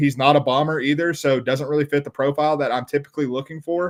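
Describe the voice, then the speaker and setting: Pitched fairly high, a man speaks in a monotone, flat way. His pace is very fast. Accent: Southern US. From US South. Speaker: golf betting podcast co-host. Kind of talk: casual sports betting discussion.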